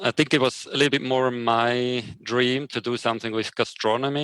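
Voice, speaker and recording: This man speaks at a medium pitch with a monotone, flat intonation. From Switzerland. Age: 30s. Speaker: coffee roaster and photographer. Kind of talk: interview. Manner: halting.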